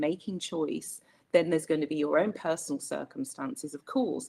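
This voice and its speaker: Speaking at a fairly quick pace with a British accent, a woman swings very widely in pitch. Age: 60s. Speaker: webinar panel host. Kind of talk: panel discussion. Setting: online webinar.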